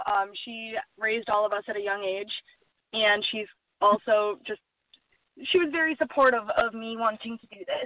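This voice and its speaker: At a moderate pace broken by long, frequent pauses, a woman speaks at a fairly high pitch with ordinary pitch variation. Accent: American. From US Upper Midwest (Duluth, Minnesota / Superior, Wisconsin). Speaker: film producer. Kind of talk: interview.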